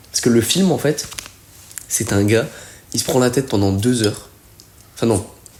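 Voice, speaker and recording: Against noticeable background noise, a man at a medium pitch talks at a moderate pace with ordinary pitch variation and long, frequent pauses. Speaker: calisthenics athlete. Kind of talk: casual chat.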